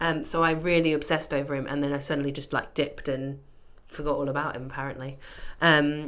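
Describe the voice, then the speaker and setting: With audible room echo, a woman with a very deep, low pitch talks at a fairly quick pace in a monotone, flat intonation. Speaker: podcast co-host. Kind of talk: casual chat. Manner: quiet.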